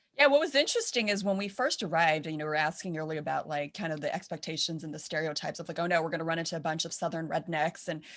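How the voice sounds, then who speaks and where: With a Californian accent, a woman talks very fast with hardly any pauses in a fairly low voice. Her pitch variation is ordinary, and the background is quiet. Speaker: film director. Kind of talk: panel Q&A, casual.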